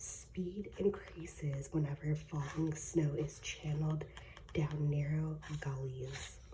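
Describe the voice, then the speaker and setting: A soft-spoken woman's very deep, low voice, dark and mellow with vocal fry, at a very slow pace. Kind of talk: ASMR reading random facts. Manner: soft-spoken, relaxing.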